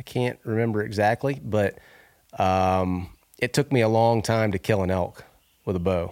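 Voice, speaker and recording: In a very clean recording with a silent background, a man with an unremarkable speaking voice talks at a moderate pace, his fairly low pitch varying in an ordinary way. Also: dry, close sound with no echo. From US South, Northwest Florida. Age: 40s. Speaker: reality TV winner, outdoorsman and bow builder. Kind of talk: casual interview. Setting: in person, at guest's home.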